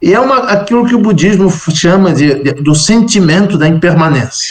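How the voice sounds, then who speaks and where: Pitch swings very widely in this man's voice. He keeps a moderate pace. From Brazil. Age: 60s. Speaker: Buddhist monk and scholar. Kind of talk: interview testimony.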